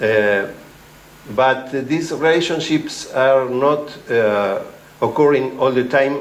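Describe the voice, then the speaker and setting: Very slowly, a man in a Spanish accent speaks at a medium pitch with ordinary pitch variation, against audible room echo and noticeable background noise. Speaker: ecology researcher. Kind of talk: academic talk. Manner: halting, many fillers.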